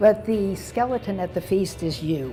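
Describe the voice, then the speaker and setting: A woman speaks at a medium pitch with music playing in the background. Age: 80s+. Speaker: doctor, former trauma surgeon. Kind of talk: interview answer.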